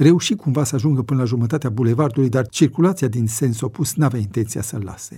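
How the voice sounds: A natural reading voice, ordinary pitch variation throughout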